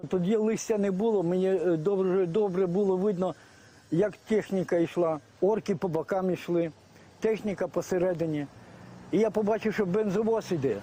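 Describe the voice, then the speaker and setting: This man has a high voice for a man with a dark, mellow tone, fairly even intonation, very even loudness and a moderate pace. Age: 60s. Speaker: retiree and volunteer fighter. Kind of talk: interview testimony.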